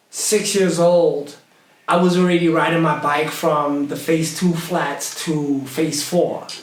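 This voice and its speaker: In a recording with noticeable background noise and audible room echo, a man with an American accent speaks very slowly at a fairly high pitch and very even loudness. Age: 40s. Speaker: hip hop artist. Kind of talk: casual chat. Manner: animated.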